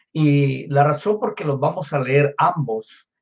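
Somewhat breathy and fairly high-pitched, a man speaks at a very slow pace. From Colombia. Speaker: pastor. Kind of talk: sermon.

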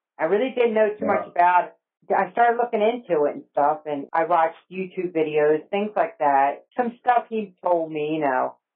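Speaking at a moderate pace with an American accent, a woman uses lively intonation. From New Jersey, near Woodbury. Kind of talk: testimony. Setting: phone call.

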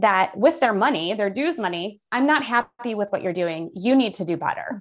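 In a Midwestern American accent, this speaker talks at a moderate pace with very wide pitch swings on a very clean recording with a silent background. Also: woman. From central Illinois. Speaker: staff attorney and labor policy expert. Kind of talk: podcast interview.

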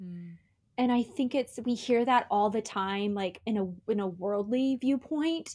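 Dark and mellow in tone, the voice proceeds fairly slowly. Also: woman, fairly high pitch for a woman, ordinary pitch variation. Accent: Midwestern American. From US Midwest, southern Indiana small town. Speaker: actress. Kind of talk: casual chat. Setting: remote recording call.

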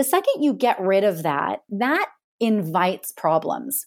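On a very clean recording with a silent background, a woman with a plain, everyday voice speaks at medium pitch and a fairly slow pace. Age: 40s. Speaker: skincare brand founder. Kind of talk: interview.

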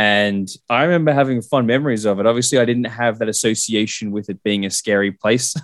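Speaking very fast with hardly any pauses, a man with an Australian accent uses a medium pitch and ordinary pitch variation. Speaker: guest co-host filling in. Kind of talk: casual chat.

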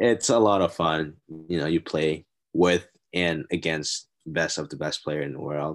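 A man with a Thai accent speaks at a very deep, low pitch. Music plays in the background. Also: ordinary pitch variation, fairly slow pace. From Thailand. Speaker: college golfer. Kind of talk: casual interview. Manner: halting.

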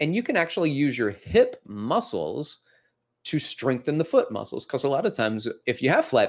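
In a very clean recording with a silent background, a man with an American accent talks at a moderate pace. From US South (Alabama). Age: 40s. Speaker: fitness educator and podcast host. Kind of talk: educational podcast talk.

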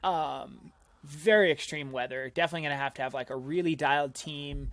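An ordinary speaking voice: a man, fairly high-pitched, with fairly even intonation at a moderate pace. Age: 30s. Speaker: mountain runner and climber. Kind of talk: casual chat. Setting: video call.

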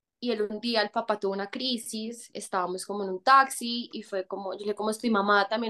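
A woman's bright, sharp voice at a fairly quick pace, with fairly even intonation. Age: 20s. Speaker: actress. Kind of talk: casual chat.

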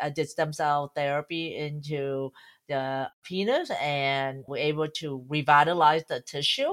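The recording is very clean with a silent background. A woman speaks at a fairly slow pace with a very deep, low pitch. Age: 50s. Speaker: medical doctor. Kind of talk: interview. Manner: halting.

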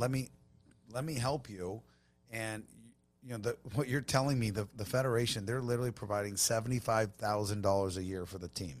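A normal speaking voice with an American accent moves at a fairly quick pace with ordinary pitch variation, in a very clean recording with a silent background. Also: man. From Long Beach, California. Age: 40s. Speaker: tequila brand owner. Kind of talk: casual chat.

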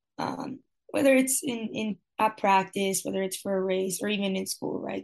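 Her speed is moderate. This woman talks with a Spanish accent. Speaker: college cross country runner. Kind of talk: interview.

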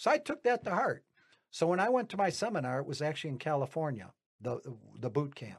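At a very fast pace, a man with a fairly high pitch and vocal fry makes very wide pitch swings. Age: 60s. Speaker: retired auto worker turned real estate investor. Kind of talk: casual podcast interview. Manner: rambling, self-correcting.

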